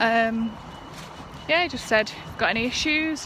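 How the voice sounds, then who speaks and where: Over noticeable background noise, a woman with a northern English accent speaks at a high pitch and a fairly slow pace. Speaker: vlogger. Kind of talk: casual vlog. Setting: outdoors, walking home. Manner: slightly lisping, slurry.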